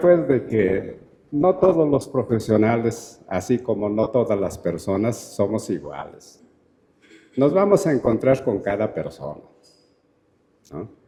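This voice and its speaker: Very slow and marked by long, frequent pauses, a man's dark, mellow voice makes very wide pitch swings. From Peru. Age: 60s. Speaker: anthropologist and university lecturer. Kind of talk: Q&A answer at a talk. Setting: auditorium.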